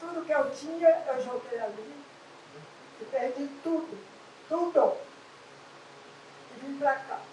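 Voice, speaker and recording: A woman with a high pitch speaks very slowly, leaving long, frequent pauses, her pitch varying in an ordinary way. Her loudness swings widely, and audible room echo surrounds her. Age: 80s+. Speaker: resident, public servant. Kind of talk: personal testimony at community meeting.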